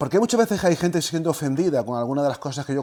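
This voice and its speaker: A man's voice with lively intonation. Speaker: historian and lecturer on religion. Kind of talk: lecture. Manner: fast.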